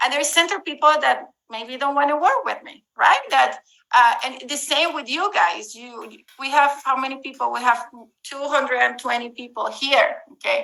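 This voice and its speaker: A woman uses a raised, projected voice with a bright, sharp tone and high pitch, speaking at a moderate pace with ordinary pitch variation and big swings in loudness. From Latin America. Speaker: real estate investor and marketing presenter. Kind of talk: webinar presentation.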